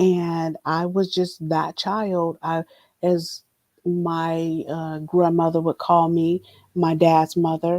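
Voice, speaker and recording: A woman's fairly low, dark, mellow voice with an American accent, monotone and flat, at a very slow pace, in a dry, close sound with no echo and a very clean, silent background. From Palm Springs, California. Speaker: guest sharing life story. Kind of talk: personal testimony.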